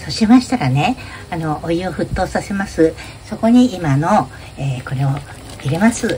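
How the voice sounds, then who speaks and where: The pitch swings very widely and the loudness rises and falls a lot at a moderate pace. Light background noise sits underneath. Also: woman, fairly low pitch for a woman. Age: 80s+. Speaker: YouTuber. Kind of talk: tutorial. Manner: casual. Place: kitchen. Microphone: phone near.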